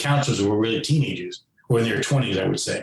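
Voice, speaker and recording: A somewhat breathy man with an American accent at a very fast pace. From New York City (Queens). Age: 60s. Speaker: author, former foster youth. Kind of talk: interview. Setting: podcast interview.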